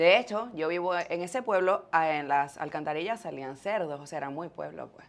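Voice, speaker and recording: In an ordinary speaking voice, someone talks at a moderate pace with hardly any pauses and big swings in loudness. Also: woman, fairly low pitch for a woman. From Venezuela, Maracay and Valencia; Venezuela. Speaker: podcaster and fitness influencer; podcaster, fitness influencer. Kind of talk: casual interview. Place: studio. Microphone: lapel.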